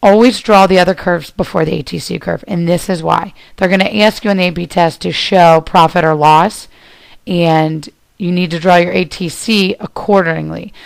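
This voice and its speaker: At a moderate pace and with fairly even intonation, a woman's fairly low pitch comes through in an ordinary speaking voice. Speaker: teacher. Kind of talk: lecture.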